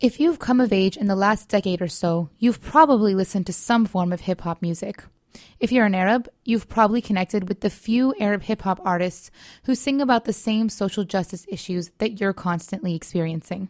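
Speaking at a fairly quick pace in an ordinary speaking voice, a woman at medium pitch uses ordinary pitch variation, on a very clean recording with a silent background and a dry, close sound with no echo. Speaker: radio show co-host. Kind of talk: casual interview. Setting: studio.

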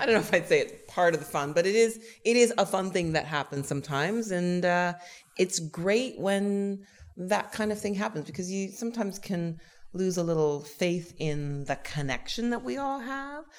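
In a Canadian accent, a woman with a normal speaking voice talks at a moderate pace and medium pitch, her intonation lively. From Canada (Toronto). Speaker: stage actor. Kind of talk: interview.

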